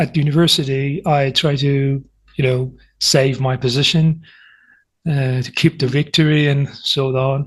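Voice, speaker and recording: Fairly high in pitch and somewhat breathy, a man speaks at a fairly slow pace in a monotone, flat way. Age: 20s. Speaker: university student. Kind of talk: casual interview chat. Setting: online video call.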